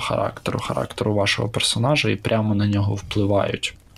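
Noticeable background noise sits behind a man who speaks fairly quickly at a fairly low pitch. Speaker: tabletop RPG podcaster. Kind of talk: casual chat.

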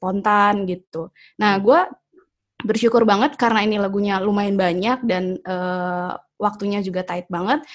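A woman speaks at a moderate pace with a medium pitch. It is an ordinary speaking voice. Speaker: singer and vocal coach. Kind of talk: casual panel discussion. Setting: video call.

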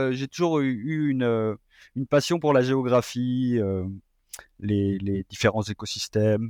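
At a very slow pace, a man speaks at a medium pitch with ordinary pitch variation, in a dry, close sound with no echo and a quiet background. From France. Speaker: postdoctoral researcher in environmental science. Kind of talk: interview. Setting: remote call. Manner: halting.

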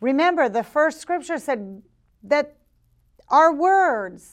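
Against a quiet background, a woman speaks fairly slowly in a high voice. Her tone is animated and her intonation lively. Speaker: preacher and podcast host. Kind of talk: sermon. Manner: emphatic, exhorting.

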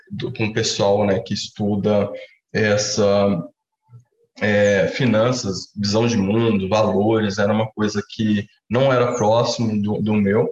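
A man's fairly low, monotone voice with flat intonation at a very slow pace. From Brazil, Minas Gerais (Uberaba). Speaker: economist, researcher. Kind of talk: interview. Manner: hesitant, many fillers.

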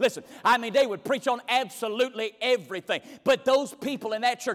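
Very fast speech in a Southern US accent. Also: man. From US South, North Carolina. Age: 30s. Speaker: guest preacher. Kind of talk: sermon. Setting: church.

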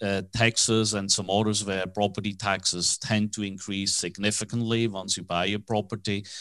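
This man talks with a Swiss accent at a fairly low pitch and a moderate pace, his intonation fairly even. The background is quiet. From Switzerland. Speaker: commercial real estate financing broker, company founder. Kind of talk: interview.

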